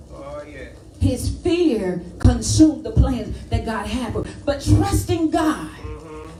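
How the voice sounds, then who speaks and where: Her speech is very slow. Background noise is noticeable throughout. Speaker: preacher. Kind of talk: sermon.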